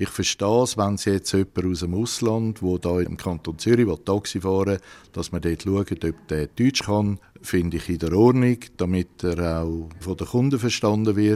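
A man speaks with a dark, mellow tone and fairly low pitch, barely pausing. His pitch varies in an ordinary way on a very clean recording with a silent background. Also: moderate pace. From Horgen, canton Zurich, Switzerland. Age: 50s. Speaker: taxi driver. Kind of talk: interview.

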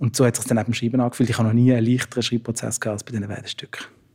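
Somewhat breathy, a man's voice stays monotone and flat in intonation. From Switzerland, Basel. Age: 30s. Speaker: playwright. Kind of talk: interview.

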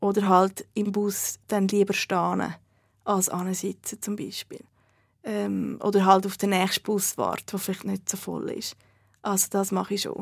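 A very clean recording with a silent background, its speech fairly slow. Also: woman. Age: 30s. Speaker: fat activist and blogger. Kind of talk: interview.

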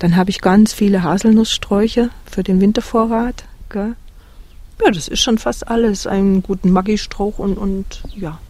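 Her tone is dark and mellow, somewhat breathy, at a medium pitch with ordinary variation. The woman talks at a fairly slow pace. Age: 50s. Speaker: interviewee living a simple life, former teacher. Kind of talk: interview.

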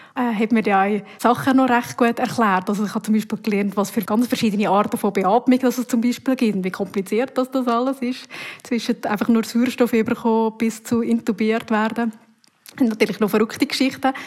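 In a normal speaking voice, a woman talks at a fairly high pitch. She moves at a fairly quick pace with fairly even intonation. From Uri, central Switzerland. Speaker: TV news presenter and reporter. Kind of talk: casual interview answers.

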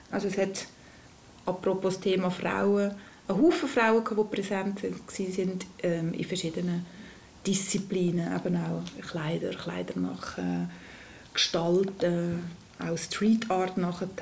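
This woman talks at a fairly slow pace, with long, frequent pauses and vocal fry at a medium pitch. Her intonation is fairly even, and the room echo is audible. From Lucerne region, Switzerland. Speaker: former rapper. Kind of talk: interview.

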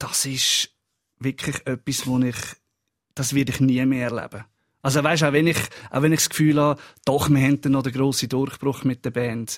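With long, frequent pauses, a man speaks at medium pitch in a monotone, flat intonation, the sound dry and close with no echo. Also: moderate pace. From Lucerne, Switzerland. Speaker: musician, football fan. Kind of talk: casual chat.

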